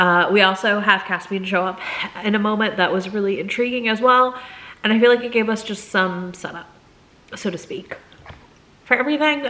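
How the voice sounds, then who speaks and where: The talking goes at a fairly quick pace with ordinary pitch variation and long, frequent pauses. Noticeable background noise is present. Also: woman. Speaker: book vlogger. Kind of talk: casual vlog talk. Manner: hesitant, filler words.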